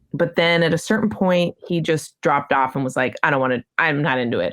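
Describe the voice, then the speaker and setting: The intonation is lively. There is vocal fry in the voice. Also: woman. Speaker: cellist and vocalist in a metal band. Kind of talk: interview. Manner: loud.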